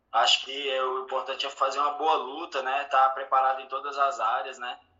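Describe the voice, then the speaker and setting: Monotone, flat intonation from a man, medium in pitch, keeping a moderate tempo. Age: 30s. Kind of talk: interview.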